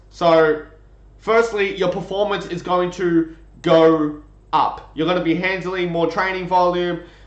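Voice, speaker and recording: Fairly slow and high-pitched, a man speaks with fairly even intonation amid audible room echo. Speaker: strength coach. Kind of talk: lecture. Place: home room. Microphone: webcam.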